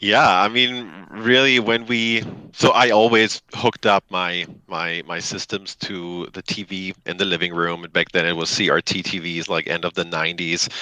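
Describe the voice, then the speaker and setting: Speech in a German accent comes at a moderate pace with a bright, sharp tone and ordinary pitch variation, in a dry, close sound with no echo. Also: man, very deep, low pitch for a man. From Germany. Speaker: company CEO. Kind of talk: interview.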